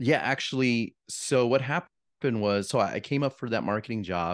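Speaking with an American accent, a man uses a normal speaking voice at a moderate pace with ordinary pitch variation, against a quiet background. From Arizona, Yuma. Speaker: real estate agent. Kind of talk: casual interview.

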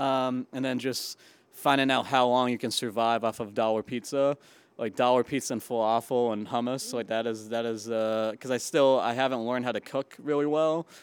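Man with an American accent and a plain, everyday voice, medium pitch and moderate pace, dry and close with no echo, on a very clean recording with a silent background. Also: fairly even intonation. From Western Massachusetts. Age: 20s. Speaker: comedian. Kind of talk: casual interview. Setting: on location in the East Village.

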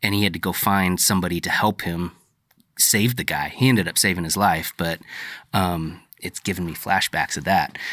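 A man's voice sits at a very deep, low pitch yet has a bright, sharp tone. He keeps a moderate pace and fairly even intonation in a very clean recording with a silent background. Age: 30s. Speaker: podcast host. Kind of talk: casual interview. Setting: in person.

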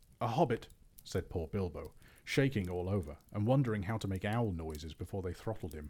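Natural-sounding reading voice.

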